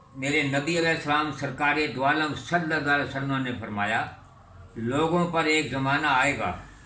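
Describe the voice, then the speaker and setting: A fairly high-pitched man with ordinary pitch variation over noticeable background noise. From India, moved to Pakistan in 1947. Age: 80s+. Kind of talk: interview answer.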